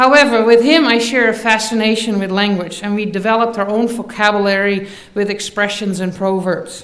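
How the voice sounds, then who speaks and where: A woman with a Dutch accent speaks at a fairly quick pace and fairly high pitch. Noticeable background noise and audible room echo fill the recording. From Netherlands. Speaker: university faculty member. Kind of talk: commencement speech.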